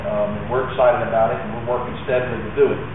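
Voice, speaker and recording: A man's voice in strong room echo, with noticeable background noise. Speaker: public presenter. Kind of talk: public presentation. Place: hall. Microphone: handheld.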